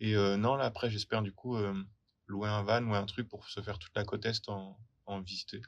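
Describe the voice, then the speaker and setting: A man speaks at a moderate pace in a fairly low pitch, with a monotone, flat intonation and long, frequent pauses. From France, rural area near Poitiers. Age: 20s. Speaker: working holiday traveller. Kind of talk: interview testimony.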